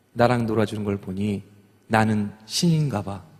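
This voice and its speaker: This man has a medium pitch with ordinary pitch variation. He talks at a fairly slow pace. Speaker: singer. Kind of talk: stage talk to audience.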